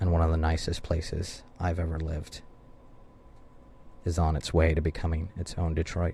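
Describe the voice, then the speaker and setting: With an American accent, a man speaks at a moderate pace in a very deep, low pitch, his dark, mellow tone somewhat breathy and monotone, broken by long, frequent pauses. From US South, Ozarks of Arkansas. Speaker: radio host. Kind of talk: radio monologue.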